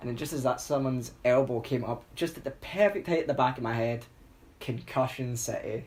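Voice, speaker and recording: Here a man talks with a Scottish accent. His pitch is medium. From Scotland. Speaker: podcast co-host. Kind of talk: casual chat. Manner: animated.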